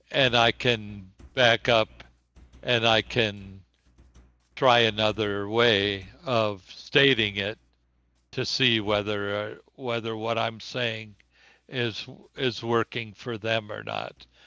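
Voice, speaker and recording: A man speaks at medium pitch with a bright, sharp tone and a flat, monotone delivery. He talks very slowly, with long, frequent pauses, against a quiet background. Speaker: teacher. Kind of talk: interview. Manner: slow, searching for words.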